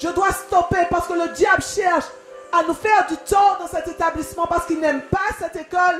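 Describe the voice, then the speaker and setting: With fairly even intonation, a woman speaks at a moderate pace in an extremely high pitch. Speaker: pastor. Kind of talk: sermon.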